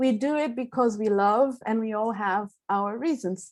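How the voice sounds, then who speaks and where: A woman with a Portuguese accent speaks at a moderate pace and a fairly high pitch. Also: very clean recording, silent background. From southern Brazil. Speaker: classical singer. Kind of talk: seminar talk. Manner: hesitant fillers.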